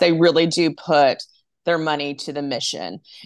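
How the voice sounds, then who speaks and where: A woman with an American accent has an unremarkable speaking voice and a fairly low pitch. She speaks at a moderate pace against a quiet background. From Texas (Arlington, Dallas-Fort Worth area). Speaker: nonprofit development director. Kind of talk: interview.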